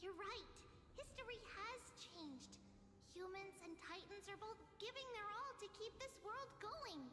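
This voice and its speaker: A put-on character voice at an extremely high pitch and moderate pace comes through loud background noise with a slight echo. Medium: video game. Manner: earnest.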